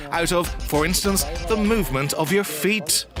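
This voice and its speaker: A man's voice sits at a fairly high pitch. Music can be heard behind him. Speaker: voice actor. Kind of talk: corporate narration. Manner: determined, driven.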